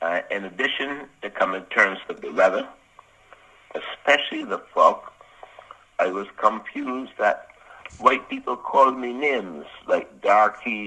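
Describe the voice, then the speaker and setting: Over noticeable background noise, a man talks at a fairly slow pace with long, frequent pauses and big swings in loudness. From Barbados. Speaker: former serviceman. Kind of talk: oral history reminiscence.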